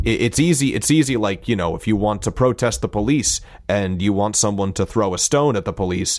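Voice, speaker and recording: A man speaks in a plain, everyday voice at a fairly quick pace. His pitch is fairly low, with ordinary pitch variation. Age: 30s. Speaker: podcast guest, voice performer. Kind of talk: casual chat.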